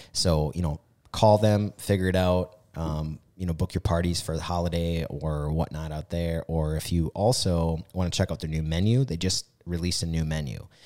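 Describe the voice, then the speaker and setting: A man with an American accent speaks in a very deep, low pitch with a dark, mellow tone. His moderate pace and fairly even intonation come through a very clean recording with a silent background. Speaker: podcast co-host, business owner. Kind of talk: casual chat. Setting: studio.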